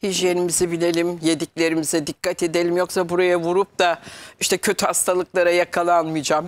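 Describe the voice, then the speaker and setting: A woman speaks at a fairly low pitch. Her loudness stays very even. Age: 60s. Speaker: metaphysics consultant; guest. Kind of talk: TV talk show interview. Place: studio. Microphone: lapel.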